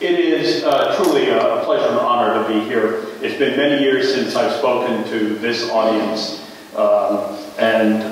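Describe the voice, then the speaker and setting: Strong room echo and light background noise accompany a man who speaks at a fairly slow pace. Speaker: invited lecturer. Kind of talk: lecture. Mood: warm, wry humor. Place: hall.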